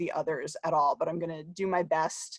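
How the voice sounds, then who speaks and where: Recorded with a dry, close sound and no echo, a woman talks fairly quickly at a fairly low pitch in a New Jersey accent. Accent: New Jersey American. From US, New Jersey. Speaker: academic researcher. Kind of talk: conference talk. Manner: fast.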